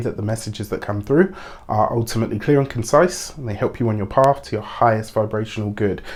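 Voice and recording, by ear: Speaking at a fairly quick pace, a man uses a medium pitch, a slightly mellow tone and ordinary pitch variation.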